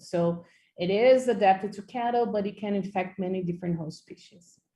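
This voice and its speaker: In a Portuguese accent, a woman speaks at medium pitch and a moderate pace with ordinary pitch variation. Her tone is dark, mellow and somewhat breathy. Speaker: microbiology professor. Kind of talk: lecture. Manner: halting, many fillers.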